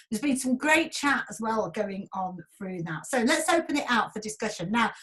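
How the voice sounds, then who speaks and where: A woman with a Yorkshire accent talks at a moderate pace and a fairly high pitch. Her pitch swings very widely. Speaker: event host and broadcaster. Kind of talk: online event moderation. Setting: video call.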